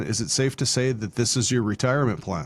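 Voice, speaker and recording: Moderate pace and medium pitch in a man's voice, a normal speaking voice. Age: 50s. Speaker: podcast host. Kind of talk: interview conversation.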